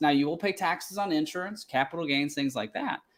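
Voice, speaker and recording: Very fast speech from a man with a Kentucky accent comes through on a very clean recording with a silent background. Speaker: financial planner. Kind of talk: tutorial.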